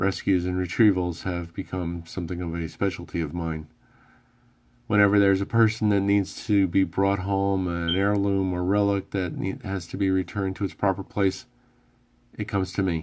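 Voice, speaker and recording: With fairly even intonation, a man talks at a moderate pace in a very deep, low pitch. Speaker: author. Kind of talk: read story. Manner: slight stammer.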